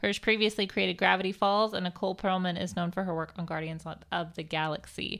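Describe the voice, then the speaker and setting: A woman with vocal fry talks at a very fast pace in a very clean recording with a silent background. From United States. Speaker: podcast co-host. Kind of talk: news reading; casual chat. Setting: home dining room. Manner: loud.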